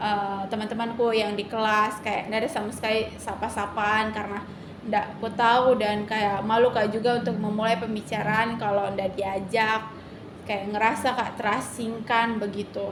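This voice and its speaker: Fairly high in pitch, a woman talks at a moderate pace in a monotone, flat way. The room echo is audible. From Indonesia, Kalimantan. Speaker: university student. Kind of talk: interview testimony. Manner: halting, many fillers.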